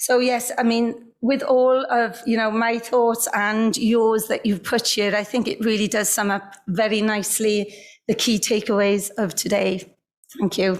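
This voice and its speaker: Speaking with a Welsh accent, a woman uses a fairly high voice at a fairly slow pace. Her intonation stays fairly even and her loudness very even. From Wales. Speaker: industry executive and event speaker. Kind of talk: key takeaways summary speech. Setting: video call.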